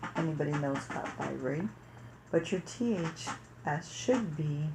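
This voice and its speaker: A woman's fairly low voice at a fairly slow pace, with lively intonation. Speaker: parenting vlogger. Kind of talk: personal story monologue. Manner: casual.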